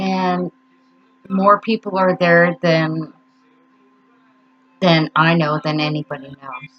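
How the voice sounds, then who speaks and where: A woman speaks very slowly at a fairly low pitch, with long, frequent pauses and fairly even intonation. Music plays behind her. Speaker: grief vlogger. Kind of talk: personal vlog monologue. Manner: halting, stuttering.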